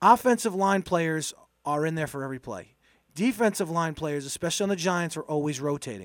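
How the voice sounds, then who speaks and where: A man's normal speaking voice, fairly high in pitch and fairly quick, with lively intonation on a very clean recording with a silent background. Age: 40s. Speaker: football podcast host. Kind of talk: casual sports analysis chat.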